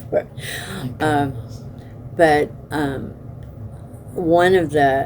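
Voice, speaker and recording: Against noticeable background noise, a woman with an American accent speaks at a very deep, low pitch with fairly even intonation. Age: 80s+. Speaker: oral history interviewee. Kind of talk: oral history interview.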